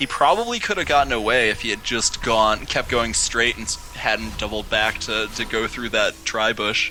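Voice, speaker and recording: A man with an American accent at a moderate pace, hardly any pauses, and music in the background. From US Midwest, Chicago. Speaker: esports shoutcaster. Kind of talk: live commentary. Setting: live stream. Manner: animated.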